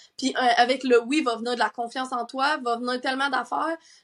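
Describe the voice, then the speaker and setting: A woman talks at a moderate pace with a Quebec accent and a high pitch. The recording is very clean, with a silent background. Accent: Québécois French. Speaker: sleep coach and entrepreneur. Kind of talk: casual chat. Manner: animated.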